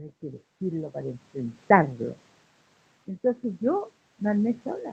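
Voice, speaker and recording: A somewhat breathy woman at medium pitch, fairly slow, with very wide pitch swings and big swings in loudness. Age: 60s. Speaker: human rights activist. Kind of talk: interview. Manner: animated.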